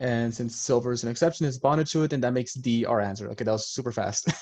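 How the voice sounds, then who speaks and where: Speaking at a very fast pace, a man keeps his intonation fairly even. His pitch is medium. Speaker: chemistry peer leader tutor. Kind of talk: online review session tutoring.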